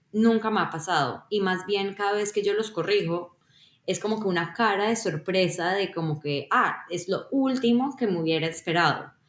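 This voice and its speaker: In a plain, everyday voice, a woman with a medium pitch speaks at a moderate pace with ordinary pitch variation. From Colombia. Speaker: software engineer. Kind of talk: podcast interview.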